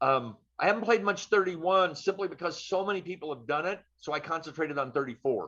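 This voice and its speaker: A man with an American accent talks at a very fast pace and high pitch, with hardly any pauses. His tone is bright and sharp, with lively intonation and big swings in loudness. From US Midwest, St. Louis. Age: 70s. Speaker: guitarist. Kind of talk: casual interview. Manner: casual.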